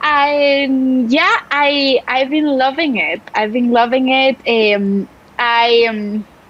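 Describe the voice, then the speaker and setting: A woman with a Spanish accent talks very slowly at a high pitch, with ordinary pitch variation. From Spain, Barcelona. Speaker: writer and journalist. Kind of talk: casual interview chat.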